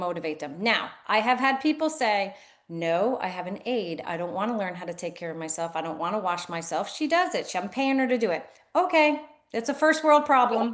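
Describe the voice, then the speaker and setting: Against a quiet background, a woman with a medium pitch talks at a fairly quick pace, her pitch swinging very widely. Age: 60s. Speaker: physical therapist, clinic owner. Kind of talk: interview. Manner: animated.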